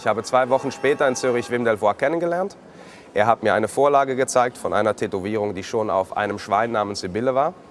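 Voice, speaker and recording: Music plays in the background as a man at a medium pitch talks very fast with ordinary pitch variation. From Switzerland, Zurich. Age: 30s. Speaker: living artwork, tattooed art subject. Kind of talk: personal account to camera.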